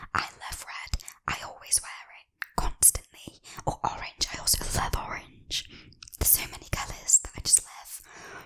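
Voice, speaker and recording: A woman whispers at a moderate pace while noticeable background noise sits behind her. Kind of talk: ASMR get-to-know-me chat to camera. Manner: whispered, soft-spoken.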